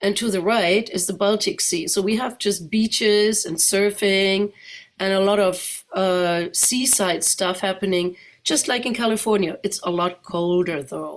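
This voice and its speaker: A woman speaks at a fairly slow pace with a German accent, her medium pitch showing ordinary variation, in a very clean recording with a silent background. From Germany, Neuss (Rhineland). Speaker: guest speaker. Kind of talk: presentation. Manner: conversational.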